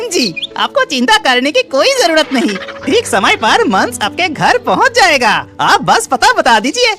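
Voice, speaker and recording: A cartoonish character voice speaks with clear music in the background. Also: moderate pace. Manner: confident, courteous.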